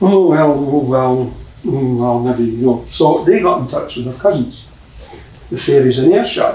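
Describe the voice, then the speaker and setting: A man talks at a fairly slow pace in a Scottish accent, his pitch medium with ordinary variation. Noticeable background noise runs beneath his voice. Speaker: storyteller, folklorist. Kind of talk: live folk tale storytelling to an audience. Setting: live theatre performance. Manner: lively, conversational.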